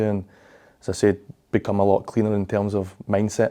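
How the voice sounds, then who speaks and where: Against a quiet background, a man with a Glaswegian accent speaks very fast in a fairly low pitch, with a dark, mellow tone and monotone, flat intonation. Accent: Glaswegian Scottish. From Scotland, Glasgow. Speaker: professional footballer. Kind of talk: interview. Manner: halting, frequent fillers and repeats.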